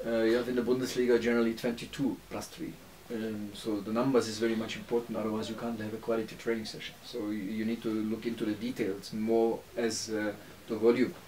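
Light background noise accompanies a man speaking. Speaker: football coach. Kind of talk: interview answer. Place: home room.

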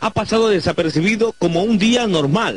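The sound is dry and close, with no echo. A man speaks fast-ish, at a fairly quick pace, in a high pitch with ordinary pitch variation. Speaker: news reporter. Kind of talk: news reporting.

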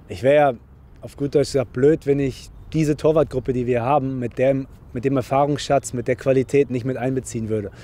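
A man speaks fairly quickly at a medium pitch, his dark, mellow tone carrying fairly even intonation.

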